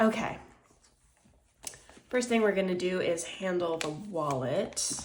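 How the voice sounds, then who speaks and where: Audible room echo and noticeable background noise surround a woman's voice. She speaks at a fairly slow pace with ordinary pitch variation. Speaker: budgeting youtuber. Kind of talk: casual tutorial. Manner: conversational, many fillers.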